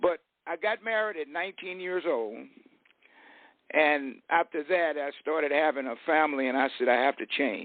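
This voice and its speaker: With an American accent and a normal speaking voice, a man talks at a moderate pace, fairly high in pitch, with ordinary pitch variation. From US West, Fresno, California. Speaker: retired real estate and business speaker. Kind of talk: interview on online radio show. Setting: online radio show.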